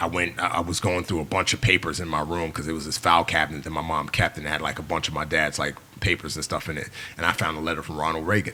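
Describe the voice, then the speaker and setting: In a New York accent, the speaker talks very fast with an animated tone. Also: man, very deep, low pitch for a man. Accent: New York American English. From New York City, the Bronx. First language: Yoruba. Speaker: former navy SEAL and filmmaker. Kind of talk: casual interview chat. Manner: animated, fast with many fillers.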